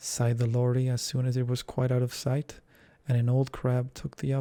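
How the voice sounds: The clip is spoken in a natural reading voice.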